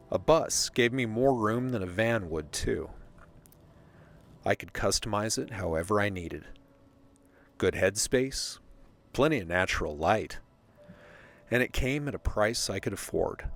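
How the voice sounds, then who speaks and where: The speech moves at a fairly slow pace with long, frequent pauses and lively intonation. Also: man, medium pitch for a man. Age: 50s. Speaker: travel writer and vlogger. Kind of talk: personal narration.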